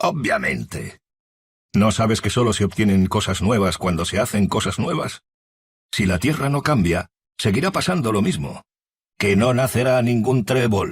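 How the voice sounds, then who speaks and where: On a very clean recording with a silent background, a man uses a rumbling, grumpy, put-on character voice at medium pitch and a moderate pace. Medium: read story. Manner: grumpy, grumbling.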